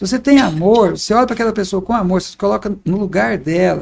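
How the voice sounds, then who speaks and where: Talking at a very fast pace, a man uses lively intonation in a high-pitched voice. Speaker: obstetrician. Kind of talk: casual interview.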